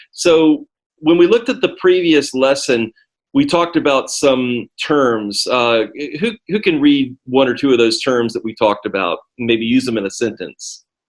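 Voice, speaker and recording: A plain, everyday voice, a man with an American accent, medium pitch, lively intonation and a moderate pace. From United States. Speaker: ESL teacher. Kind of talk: lesson. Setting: video call.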